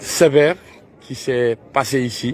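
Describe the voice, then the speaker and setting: A man at a medium pitch with fairly even intonation, over noticeable background noise. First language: Pular (Fula) (speaking French). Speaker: Islamic preacher. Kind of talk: guided tour talk on pilgrimage. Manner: halting, many hesitations.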